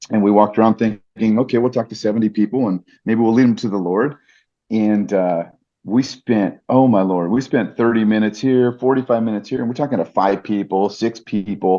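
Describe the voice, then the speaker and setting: Fairly low in pitch, a man speaks with fairly even intonation. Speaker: ring announcer. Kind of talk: interview answer.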